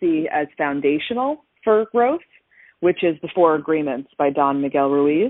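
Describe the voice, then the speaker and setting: A speaker with an American accent talks at a moderate pace with lively intonation. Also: woman. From New Jersey. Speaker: mindset coach. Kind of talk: interview. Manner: dynamic.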